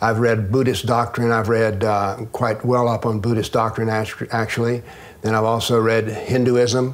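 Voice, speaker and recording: A medium-pitched man with a Southern US accent at a fairly quick pace, over noticeable background noise. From US South. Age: 70s. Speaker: retired professor and author on political Islam. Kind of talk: interview.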